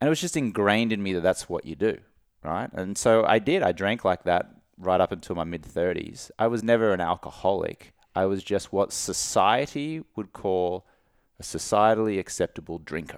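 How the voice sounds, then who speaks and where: With an Australian accent, a man speaks at a moderate pace in a fairly low pitch with ordinary pitch variation, captured on a very clean recording with a silent background. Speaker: entrepreneur and sobriety coach. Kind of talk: casual interview.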